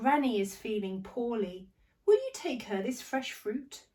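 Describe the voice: Reading aloud done plainly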